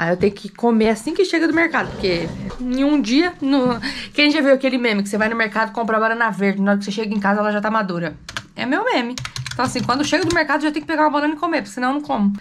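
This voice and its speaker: A woman speaks at a very fast pace with an upbeat tone and very wide pitch swings. Light background noise can be heard. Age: 20s. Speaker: mother and family vlogger; family vlogger. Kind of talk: casual vlog talk to camera. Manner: chatty, upbeat. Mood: cheerful, playful. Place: home room. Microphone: phone near.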